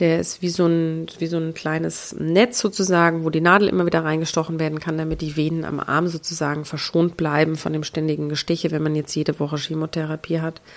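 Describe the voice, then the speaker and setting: A woman's very deep, low voice, monotone and flat, with hardly any pauses. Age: 30s. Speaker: podcast host, breast cancer survivor. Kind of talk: personal monologue. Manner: halting.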